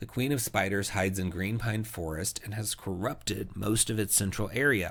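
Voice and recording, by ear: A text is read aloud, the voice sounding natural.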